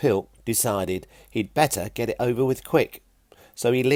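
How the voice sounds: The clip is a natural reading voice.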